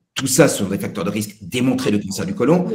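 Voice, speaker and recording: In a room with audible echo, a man with a medium-pitched voice speaks at a moderate pace with lively intonation. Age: 60s. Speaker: pediatric nutrition professor. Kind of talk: Q&A at a web conference. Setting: web conference. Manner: halting, many hesitations.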